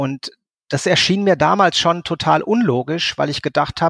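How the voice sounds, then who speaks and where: On a very clean recording with a silent background and a dry, close sound with no echo, a man with a normal speaking voice talks fairly slowly with ordinary pitch variation. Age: 50s. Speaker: social services team leader and coach. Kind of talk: interview.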